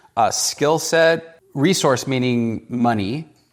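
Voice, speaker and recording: A man talks in a normal speaking voice. His pitch moves in an ordinary way. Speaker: entrepreneur. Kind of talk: casual advice talk.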